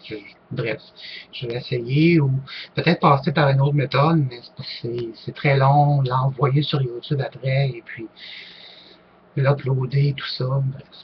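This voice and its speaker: The loudness swings widely while the intonation stays fairly even. Delivery is fairly slow, with long, frequent pauses. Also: man. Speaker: online group leader, paranormal YouTuber. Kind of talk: casual vlog Q&A. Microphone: poor-quality microphone.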